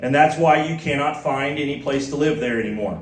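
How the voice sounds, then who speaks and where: In a Midwestern US accent, fairly even intonation with audible room echo. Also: man. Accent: US Midwest. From Kansas. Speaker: former missionary. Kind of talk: church talk. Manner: halting.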